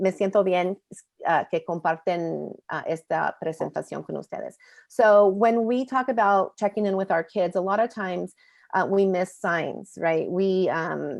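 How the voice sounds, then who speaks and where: Set against a quiet background, a woman with an unremarkable speaking voice talks at a moderate pace, her pitch medium and its variation ordinary. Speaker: presenter from a media education nonprofit. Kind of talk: bilingual webinar presentation. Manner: switches between English and Spanish.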